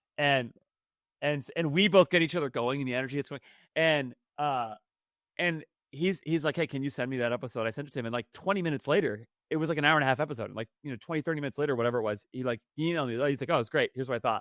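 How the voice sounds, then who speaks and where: Recorded dry and close with no echo against a silent, very clean background, the voice moves at a very fast pace with ordinary pitch variation. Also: man, fairly high pitch for a man. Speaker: podcast host. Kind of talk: casual chat. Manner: lots of filler words.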